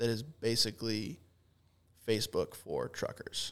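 A man with an American accent at a moderate pace. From Kansas. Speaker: podcaster and trucking company worker. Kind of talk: casual round-table chat.

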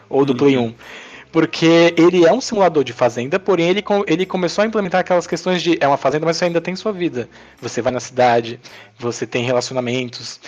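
With lively intonation and a very fast pace, a man with a fairly high pitch talks through noticeable background noise. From Brazil, Northeast (Princesa Isabel, Paraíba). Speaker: mobile game developer and entrepreneur. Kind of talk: casual chat. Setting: remote recording.

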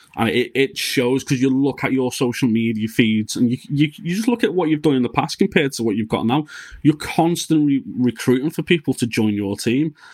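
Speaking with a Liverpool accent, a man talks at medium pitch and a fairly quick pace, his intonation lively and hardly any pauses between words. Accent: Scouse. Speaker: podcast host. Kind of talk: casual interview chat with sponsor reads.

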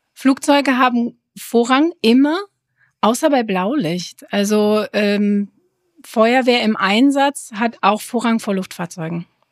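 In a very clean recording with a silent background, a woman with a fairly high pitch talks at a very slow pace, her pitch varying in an ordinary way over a dry, close sound with no echo. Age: 30s. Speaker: apron controller. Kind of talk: casual interview.

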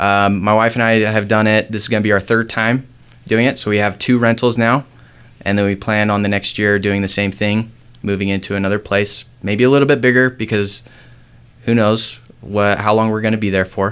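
With an American accent, a man with a normal speaking voice and a fairly low pitch talks at a fairly quick pace with fairly even intonation. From Utah, US. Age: 20s. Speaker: loan officer. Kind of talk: interview.

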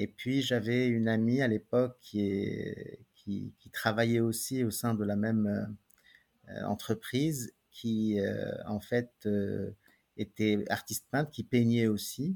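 A man at a medium pitch, at a very slow pace, with fairly even intonation. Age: 50s. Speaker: painter. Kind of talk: interview. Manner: halting, frequent repetitions.

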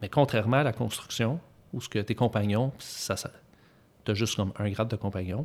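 A man speaks at a moderate pace in a Quebec accent. His pitch sits fairly low. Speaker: master car mechanic. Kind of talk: interview.

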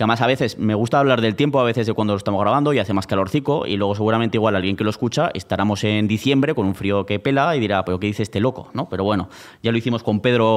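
Very fast and with hardly any pauses, a man speaks at a fairly low pitch, his loudness very even and his pitch varying in an ordinary way. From Spain, Zaragoza. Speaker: podcast host. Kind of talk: casual chat. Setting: stage with audience.

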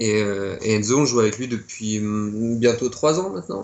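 Very slow delivery from a man, medium in pitch, the pitch varying in an ordinary way. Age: 20s. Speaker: punk rock musician. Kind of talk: interview.

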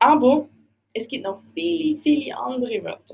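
The speaker has a Basel-Land accent. The pace is moderate. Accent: Swiss German, Basel-Land dialect. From Switzerland, Basel-Land region. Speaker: language teacher podcaster. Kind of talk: educational podcast monologue.

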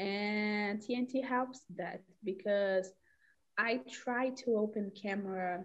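Very slowly and with fairly even intonation, a woman speaks at a medium pitch in a Brazilian accent. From Belo Horizonte, Minas Gerais, Brazil. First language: Portuguese. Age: 20s. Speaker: language learner. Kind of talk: casual group chat. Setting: video call, breakout room.

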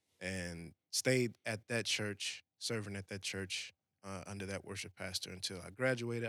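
Recorded very cleanly against a silent background, with a dry, close sound and no echo, a man speaks in a fairly low pitch with a bright, sharp tone and fairly even intonation. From New Orleans, Louisiana. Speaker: worship pastor. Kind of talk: casual chat.

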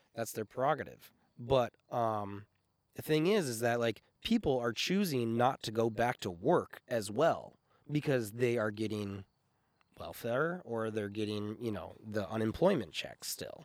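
A man's plain, everyday voice at medium pitch, fairly slow in pace, with ordinary pitch variation and a dry, close sound with no echo. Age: 30s. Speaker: audio engineer and musician. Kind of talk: casual chat.

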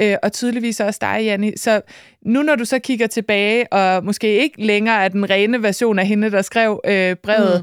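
An ordinary speaking voice from a woman, at medium pitch with ordinary pitch variation and a moderate pace, is heard in a dry, close sound with no echo on a very clean recording with a silent background. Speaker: podcast co-host and author. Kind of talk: podcast interview. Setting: studio.

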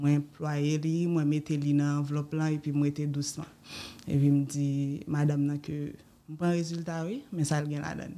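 A woman talks at a moderate pace. Her pitch is very deep and low, and her intonation is monotone and flat. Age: 20s. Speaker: cancer survivor, businesswoman. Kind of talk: testimony. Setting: studio.

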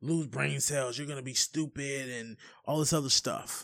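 A man speaks in an animated way at a fairly high pitch. The recording is very clean, with a silent background. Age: 30s. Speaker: podcast host. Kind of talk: casual chat.

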